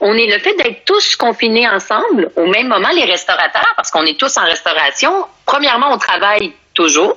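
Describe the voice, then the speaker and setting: Against noticeable background noise, a woman speaks in a Quebec accent at a fairly high pitch. Her pace is moderate, and her pitch swings very widely. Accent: Québécois French. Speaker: sommelier and entrepreneur. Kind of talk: casual interview. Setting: Instagram live video call from home. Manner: animated.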